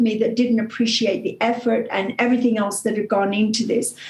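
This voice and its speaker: A woman speaks in an Australian accent. Her voice is high, with ordinary pitch variation. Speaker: author and coach. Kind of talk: motivational talk.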